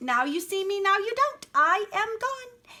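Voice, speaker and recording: A woman uses a put-on character voice, squeaky and extremely high in pitch. She speaks at a fairly slow pace. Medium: read story. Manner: prim, genteel, polite.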